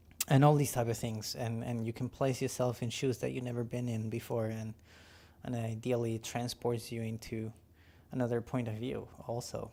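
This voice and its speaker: A dark, mellow voice mumbles at a moderate pace with monotone, flat intonation. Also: man, medium pitch for a man. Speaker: filmmaker and VFX artist streaming his work. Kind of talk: casual live stream while working. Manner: halting, many fillers; mumbling.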